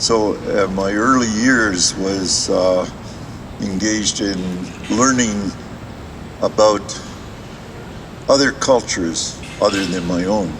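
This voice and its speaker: With a Canadian accent, a man talks at a very slow pace with long, frequent pauses, a fairly low pitch and fairly even intonation, over noticeable background noise and audible room echo. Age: 80s+. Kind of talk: public talk. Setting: outdoors in a playground, audience circle. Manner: halting, many fillers.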